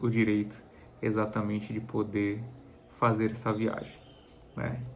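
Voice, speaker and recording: Audible room echo surrounds the speech of a man. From Bahia, Brazil (Salvador area). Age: 40s. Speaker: travel vlogger. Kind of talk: casual vlog introduction. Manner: halting, many fillers and repeated words.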